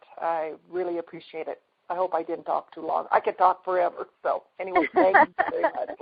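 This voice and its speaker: A woman's normal speaking voice at a medium pitch, with a moderate pace and fairly even intonation. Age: 60s. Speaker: energy healing practitioner. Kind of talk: testimony.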